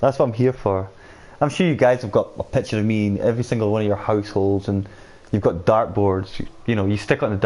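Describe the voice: A man's fairly low voice at a fairly quick pace, slightly mellow in tone.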